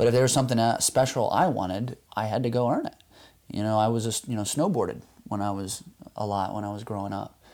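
On a very clean recording with a silent background, a man with an American accent talks at a very fast pace, his fairly low pitch showing ordinary variation. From US. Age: 30s. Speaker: construction consultant and surfer. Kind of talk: interview. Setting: at his home.

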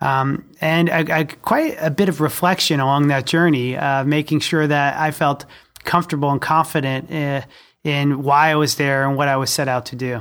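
A man with fairly high pitch speaks in an unremarkable speaking voice with fairly even intonation at a moderate pace. The recording is very clean, with a silent background. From New Jersey, Jersey Shore. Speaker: school superintendent. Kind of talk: interview conversation.

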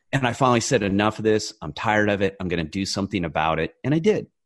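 Very fast and fairly low, a man speaks. He has an American accent. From rural California. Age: 40s. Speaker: author and former federal agent. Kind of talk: interview.

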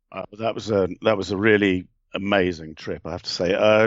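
A man with an English accent speaks at a fairly quick pace, fairly low in pitch, with ordinary pitch variation. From England. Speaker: novelist and shamanic practitioner. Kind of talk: interview.

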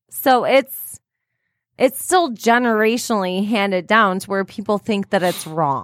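A woman speaks at a fairly slow pace with a medium pitch and lively intonation. Her voice sounds dry and close, with no echo. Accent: Michigan. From St. Clair Shores, Michigan. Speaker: podcast co-host. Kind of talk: casual chat. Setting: studio.

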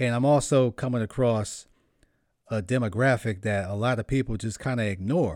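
On a very clean recording with a silent background, a man with an American accent speaks in a plain, everyday voice at a medium pitch, with ordinary pitch variation and a moderate pace. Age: 30s. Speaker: podcast host and rapper. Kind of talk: casual chat.

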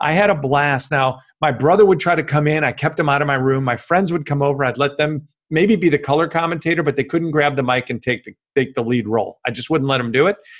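A man with an American accent, talking at a very fast pace with hardly any pauses. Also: fairly high pitch for a man, ordinary pitch variation. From US Midwest, Chicago western suburbs. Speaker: former sportscaster and media consultant. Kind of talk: podcast interview.

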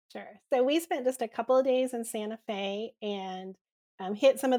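In a very clean recording with a silent background and a dry, close sound with no echo, a woman with an American accent speaks at a fairly quick pace in an ordinary speaking voice with fairly even intonation. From Missouri. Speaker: travel blogger. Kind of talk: casual interview.

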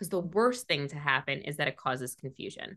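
Over a quiet background, a woman with a New York accent speaks at a fairly quick pace with lively intonation. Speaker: image consultant. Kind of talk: interview. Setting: video call.

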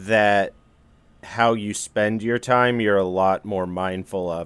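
A man with a plain, everyday voice speaks at a fairly low pitch and fairly slow pace. The recording is very clean, with a silent background. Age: 30s. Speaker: actor and comedy writer. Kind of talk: casual chat. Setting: studio.

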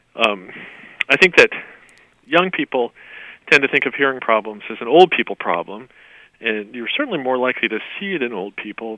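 Moderate pace and medium pitch from a man, with ordinary pitch variation. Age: 60s. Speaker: author and magazine writer. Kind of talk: interview. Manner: halting, many fillers.

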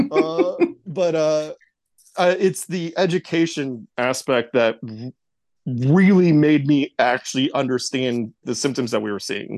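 A man with an ordinary speaking voice, fairly high-pitched, talking at a fairly slow pace with ordinary pitch variation over a quiet background. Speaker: host's husband.

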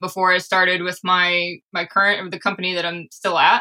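A woman speaks at medium pitch in a monotone, flat delivery with a bright, sharp tone. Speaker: software developer turned product person. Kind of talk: casual chat. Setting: video call. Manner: uses filler words as spacers.

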